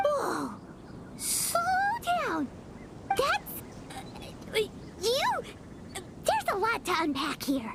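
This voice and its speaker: A cartoonish character voice at an extremely high pitch talks at a very slow pace, with long, frequent pauses. Loud background noise runs underneath. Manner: excitable, blunt.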